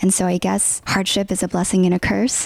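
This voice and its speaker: A woman at a moderate pace with a Californian accent. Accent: Californian American English. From Southern California, Los Angeles San Gabriel Valley. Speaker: content creator and tech product lead. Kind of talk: podcast interview, personal storytelling. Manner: animated, acts out dialogue.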